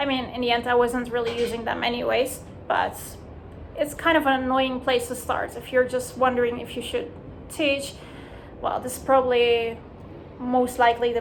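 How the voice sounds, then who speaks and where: Audible room echo surrounds a woman who speaks at a moderate pace, her high-pitched voice monotone and flat in intonation. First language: Dutch. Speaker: language teacher, vlogger. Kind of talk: casual vlog monologue. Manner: conversational with many fillers.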